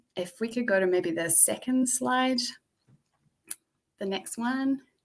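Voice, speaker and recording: This woman's voice has a bright, sharp tone and lively intonation, and she keeps a moderate pace. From England and New Zealand. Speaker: community venue founder. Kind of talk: presentation with storytelling.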